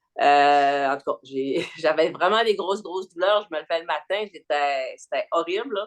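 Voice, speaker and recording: With hardly any pauses, the talking proceeds at a fairly slow pace. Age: 60s. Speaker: riding instructor and yoga teacher. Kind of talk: casual chat.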